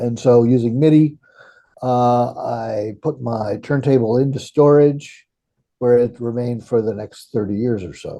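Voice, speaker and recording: Dark and mellow in tone, the voice moves at a fairly slow pace with fairly even intonation and big swings in loudness. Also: man, medium pitch for a man. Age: 70s. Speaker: composer. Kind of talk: interview. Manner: halting.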